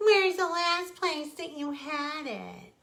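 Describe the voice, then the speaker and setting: Squeaky and high-pitched, a woman does a put-on character voice at a fairly slow pace. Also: ordinary pitch variation. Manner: mocking, teasing, pretending innocence.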